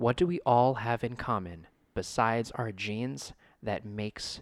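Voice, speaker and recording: In an American accent, a plain, everyday voice speaks at a fairly slow pace with lively intonation on a very clean recording with a silent background. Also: man. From United States. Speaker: podcast host. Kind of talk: casual chat.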